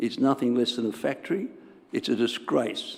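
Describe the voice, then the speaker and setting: This man's Australian accent comes with a medium pitch. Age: 80s+. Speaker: resident speaking at council meeting. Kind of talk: public submission. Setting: council chamber.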